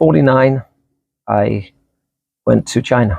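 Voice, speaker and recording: In an American accent, a man speaks at a moderate pace with a medium-pitched, dark, mellow voice and vocal fry. The sound is dry and close, with no echo. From England. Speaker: vlogger. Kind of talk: casual interview.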